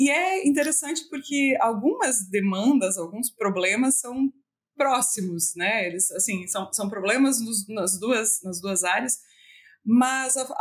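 With very wide pitch swings, a woman speaks in a fairly high voice. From Brazil, western Santa Catarina. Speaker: animal science professor and researcher. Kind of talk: interview.

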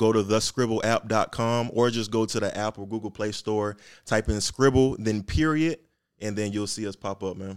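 In a very clean recording with a silent background, a man with an unremarkable speaking voice talks at a moderate pace and a fairly low pitch. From Atlanta, US South (born Miami, Bahamian mother). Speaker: tech startup founder, army veteran. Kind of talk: promotional plug; casual interview.

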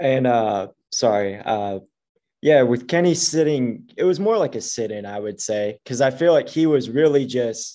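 In a very clean recording with a silent background, a man speaks at a medium pitch with a dark, mellow tone and ordinary pitch variation. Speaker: sports writer. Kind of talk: casual chat.

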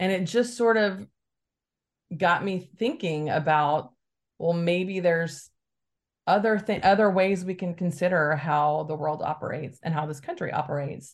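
A woman with an American accent and a plain, everyday voice, at a moderate pace with ordinary pitch variation, against a quiet background. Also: fairly low pitch for a woman. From Alabama, US South. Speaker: communications director of a progressive conference. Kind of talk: podcast interview.

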